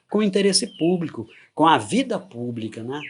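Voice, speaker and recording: Pitched high for a man, this male speaker swings his pitch very widely while keeping a moderate pace. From Goiás, Brazil. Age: 60s. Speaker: retired forensic expert. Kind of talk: interview testimony.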